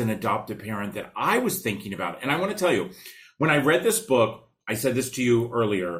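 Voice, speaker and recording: A somewhat breathy man's voice with an animated tone and very wide pitch swings. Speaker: podcast host and foster care charity founder. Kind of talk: interview conversation. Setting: video call.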